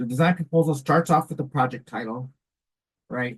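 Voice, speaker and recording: A man speaks in a somewhat breathy voice. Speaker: education program presenter. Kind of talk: conference presentation. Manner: fast; casual, halting with fillers.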